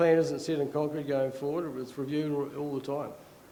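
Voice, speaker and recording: A man with an Australian accent speaks over noticeable background noise, with audible room echo around his voice. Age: 60s. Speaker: retired dairy farmer. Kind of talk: conference talk. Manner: halting.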